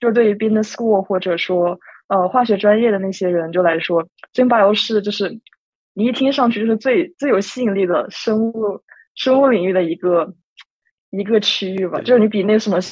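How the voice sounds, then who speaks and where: With a normal speaking voice, this woman keeps to a medium pitch and varies it in an ordinary way. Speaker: university student, competition participant. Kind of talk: casual chat.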